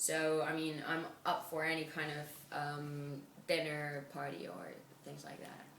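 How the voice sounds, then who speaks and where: A woman speaks at a fairly slow pace in a very deep, low pitch, her intonation fairly even. Her loudness swings widely, and the room echo is audible. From Spain. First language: Spanish. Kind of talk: interview answers.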